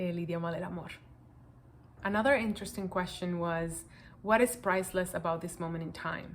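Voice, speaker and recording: This woman speaks in a Spanish accent. Her voice has vocal fry. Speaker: project participant sharing reflections. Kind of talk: personal reflection answering questions to camera.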